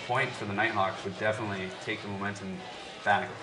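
Music plays in the background as a man speaks at a fairly low pitch. His pace is fairly quick. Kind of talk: live commentary. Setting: stadium broadcast. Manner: animated, excitable play-by-play, quick bursts of 'ooh' and 'big' calls; rapid, clipped, reacting as plays unfold.

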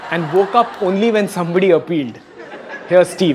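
Light background noise surrounds a man speaking. He has a high pitch and a fairly quick pace. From India. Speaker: comedian and cricket show host; comedian, cricket show host. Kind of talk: comic monologue with impressions; casual chat. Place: stage. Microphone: handheld.

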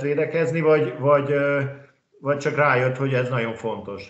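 A man speaks at a fairly quick pace with a fairly high pitch for a man. The background is quiet, though some room echo can be heard. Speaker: handball pundit. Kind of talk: casual chat. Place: home room. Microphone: video call.

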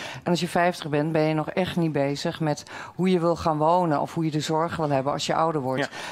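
A woman speaks at a fairly quick pace in a very deep, low voice. Her intonation stays monotone and flat. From Netherlands. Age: 50s. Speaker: local party candidate. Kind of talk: debate. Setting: stage with audience. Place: hall.

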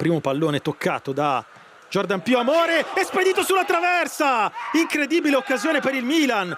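Amid noticeable background noise, a man talks at a fairly quick pace in an extremely high pitch, his pitch swinging very widely while his loudness stays very even. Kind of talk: live sports commentary.

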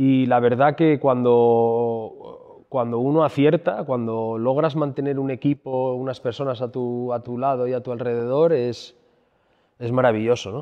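The delivery is fairly slow and fairly even in intonation, set against a quiet background. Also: man. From Asturias, Spain. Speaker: restaurateur; speaker. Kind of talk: conference talk. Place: hall. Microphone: handheld.

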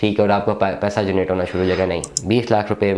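A man's voice comes across with a dark, mellow tone. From Pakistan. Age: 30s. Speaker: real estate businessman. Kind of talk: monologue to camera. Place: office.

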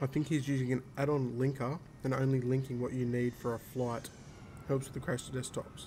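A somewhat breathy, dark, mellow voice, flat and monotone at a fairly quick pace, over light background noise. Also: man, medium pitch for a man. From Australia. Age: 30s. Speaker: flight simulator streamer. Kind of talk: casual chat. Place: home room. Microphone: headset.

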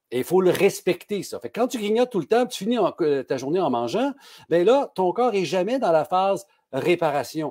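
Against a quiet background, a man speaks at a moderate pace. His high, dark, mellow voice makes very wide pitch swings. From Quebec. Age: 60s. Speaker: pharmacist; guest. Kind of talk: casual interview. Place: home room.

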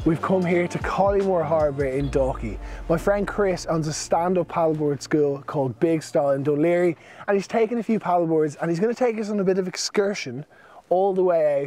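Over background music, a man with a high pitch talks at a fairly quick pace, the sound dry with no echo. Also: ordinary pitch variation. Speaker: vlogger host. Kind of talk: casual vlog chat. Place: waterside.

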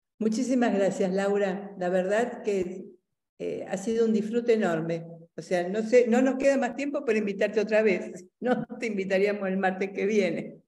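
A woman's medium-pitched, dark, mellow voice at a moderate pace, with ordinary pitch variation and audible room echo. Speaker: university lecturer. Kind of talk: academic interview.

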